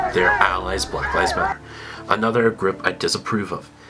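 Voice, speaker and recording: A man talks with crowd noise in the background. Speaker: video commentator. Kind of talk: scripted commentary.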